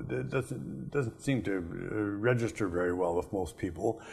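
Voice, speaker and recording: The man talks at a moderate pace. Very wide pitch swings run through his speech. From rural farm upbringing. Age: 70s. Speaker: Bible teacher, professor. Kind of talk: lecture. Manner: halting, frequent filler sounds.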